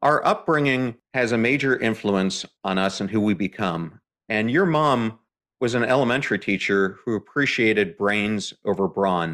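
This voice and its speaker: A man speaks at a moderate pace in a fairly low pitch, with ordinary pitch variation and a plain, everyday voice. The recording is very clean, with a silent background. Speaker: podcast host. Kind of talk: podcast interview.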